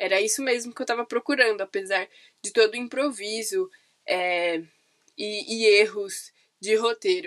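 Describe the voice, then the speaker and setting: Recorded dry and close with no echo, a woman speaks at a moderate pace in a fairly high voice with ordinary pitch variation and long, frequent pauses. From São Paulo city, Brazil. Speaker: podcaster, university student. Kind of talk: casual monologue. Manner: hesitant, many fillers.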